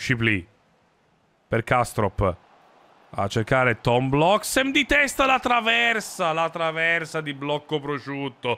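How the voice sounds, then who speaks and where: The man's tone comes out bright and sharp. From South Tyrol, Italy; Italy. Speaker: gaming streamer. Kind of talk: live gameplay commentary. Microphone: studio mic.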